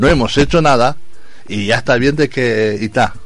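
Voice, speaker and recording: This man has an ordinary speaking voice at medium pitch with lively intonation. He keeps a moderate pace. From Valencia, Spain. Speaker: composer. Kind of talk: radio interview.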